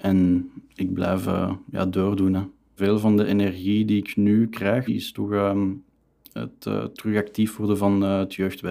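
With monotone, flat intonation, a man with a fairly low voice speaks at a very slow pace. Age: 20s. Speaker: student and youth club chairman. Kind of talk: casual interview.

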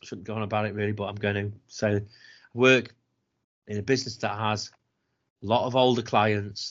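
A man talks with a British accent. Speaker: podcast co-host. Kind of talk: casual chat, rant. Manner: sarcastic, caustic, ranting.

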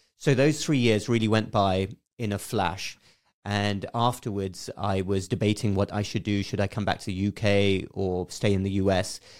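In a very clean recording with a silent background, a man with an English accent talks at a moderate pace, with a fairly low pitch and fairly even intonation. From southeast England, Berkshire. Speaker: physician. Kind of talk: casual chat. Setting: studio.

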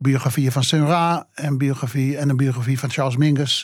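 A man's flat, monotone voice at a fairly quick pace, on a very clean recording with a silent background. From Amsterdam, Netherlands. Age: 80s+. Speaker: jazz journalist. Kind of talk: interview. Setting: studio.

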